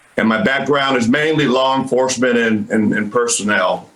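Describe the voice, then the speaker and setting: A man speaks at a moderate pace in a plain, everyday voice, medium in pitch with ordinary pitch variation. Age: 60s. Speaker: retired army colonel, professor. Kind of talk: interview.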